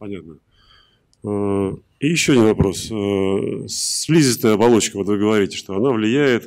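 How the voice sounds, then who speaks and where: On a very clean recording with a silent background, a man with a normal speaking voice talks at a fairly slow pace, his fairly low pitch showing ordinary variation. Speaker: conference attendee asking questions. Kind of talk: Q&A. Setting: stage with audience.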